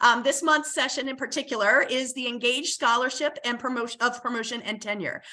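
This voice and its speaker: A woman's high-pitched, raised and projected voice at a fairly quick pace over noticeable background noise. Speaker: university administrator and moderator. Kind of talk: webinar moderation. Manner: hesitant, many fillers.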